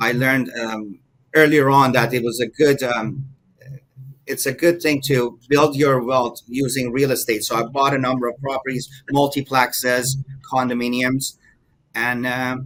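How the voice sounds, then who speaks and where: The man speaks at a medium pitch and a moderate pace, with monotone, flat intonation. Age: 50s. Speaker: mortgage broker. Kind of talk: interview. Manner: halting, many fillers.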